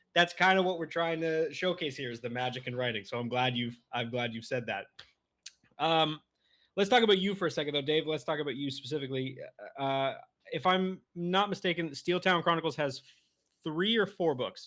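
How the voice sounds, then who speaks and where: Speaking in a plain, everyday voice with a Canadian accent, the talker moves at a fairly quick pace. The intonation is lively. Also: man, fairly high pitch for a man. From Canada. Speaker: podcast host. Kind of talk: interview.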